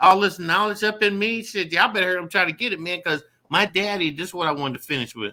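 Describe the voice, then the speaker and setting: Speaking at a very fast pace, this raised, projected voice has a bright, sharp tone and ordinary pitch variation. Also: man, high pitch for a man. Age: 60s. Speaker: magazine publisher, show guest. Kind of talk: casual chat. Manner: animated.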